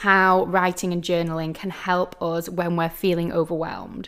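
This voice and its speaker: Speaking at a moderate pace and medium pitch, a woman uses a plain, everyday voice. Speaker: podcast host. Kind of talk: solo podcast talk.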